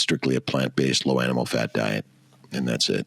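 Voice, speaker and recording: Fairly quick pace from a male speaker. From US West Coast, Los Angeles. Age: 60s. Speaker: fertility doctor. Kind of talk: interview conversation. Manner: loud at times.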